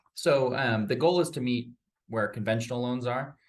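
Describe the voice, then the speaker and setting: His intonation is lively as this man speaks. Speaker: loan officer. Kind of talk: interview. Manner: fast.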